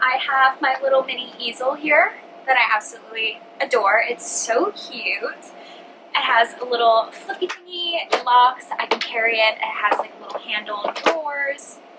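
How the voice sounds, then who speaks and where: A high-pitched woman talks at a moderate pace with lively intonation. Background noise is noticeable. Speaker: vlogger. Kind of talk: casual chat. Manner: animated.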